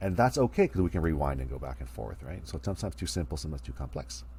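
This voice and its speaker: Very fast and full of vocal fry, a man's dark, mellow voice swings very widely in pitch. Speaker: college speech instructor. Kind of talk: recorded online lecture. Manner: casual.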